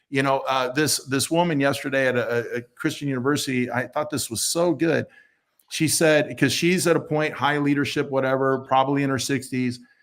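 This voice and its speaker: A man with an American accent and a normal speaking voice, fairly high in pitch, fairly quick and fairly even in intonation, in a very clean recording with a silent background. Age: 60s. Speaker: church leader. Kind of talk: panel discussion.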